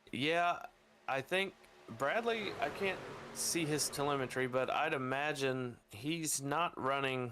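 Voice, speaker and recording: There is noticeable background noise as a man talks at a very slow pace. His voice sits fairly high in pitch, with lively intonation. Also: long, frequent pauses, very even loudness. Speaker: sim racing commentator. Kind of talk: live commentary.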